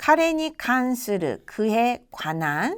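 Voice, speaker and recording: A woman's fairly high voice with very wide pitch swings, on a very clean recording with a silent background. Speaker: Japanese language instructor. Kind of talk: lecture.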